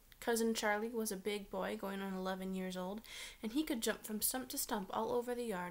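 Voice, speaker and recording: The pace is fairly quick. This woman's pitch shifts in an ordinary way. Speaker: teacher reading aloud. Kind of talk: read-aloud storytelling. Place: home room. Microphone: webcam.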